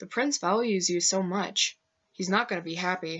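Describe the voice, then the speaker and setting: A woman speaks at a moderate pace with medium pitch. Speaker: amateur writer reading own novel. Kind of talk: reading aloud.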